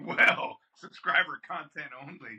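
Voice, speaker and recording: The man's tone is bright and sharp. Dry and close, the sound carries no echo. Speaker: podcast co-host. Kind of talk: casual chat.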